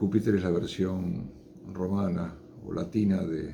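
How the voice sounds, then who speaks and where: A man's very slow, very deep, low-pitched voice with vocal fry and a dark, mellow tone, in audible room echo. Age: 60s. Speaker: chemist giving science talks. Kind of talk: informal lecture. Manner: unscripted, with hesitations.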